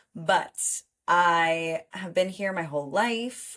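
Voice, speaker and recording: With a New York accent, a woman speaks at medium pitch with ordinary pitch variation in a very clean recording with a silent background. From New York City, Manhattan. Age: 20s. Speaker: podcast co-host. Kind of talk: casual chat. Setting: studio.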